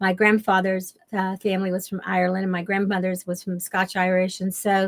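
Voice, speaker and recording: Speaking in an American accent, the voice moves at a fairly quick pace with monotone, flat intonation. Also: woman, medium pitch for a woman. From US South, western Kentucky. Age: 70s. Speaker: shamanic teacher and author. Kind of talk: interview. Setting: radio show.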